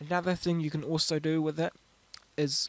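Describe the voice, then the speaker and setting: With a New Zealand accent, a man talks at a moderate pace in a fairly high, monotone, flat voice, recorded dry and close with no echo. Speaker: music producer. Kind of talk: software tutorial narration. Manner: casual, hesitant.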